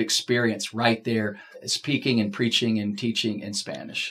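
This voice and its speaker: An unremarkable speaking voice from a man at medium pitch, in an American accent. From Texas. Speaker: campus pastor. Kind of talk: casual panel discussion.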